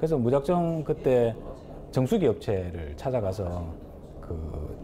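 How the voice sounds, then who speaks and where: A man talks at a fairly slow pace while his pitch swings very widely. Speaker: pizza shop owner. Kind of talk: interview.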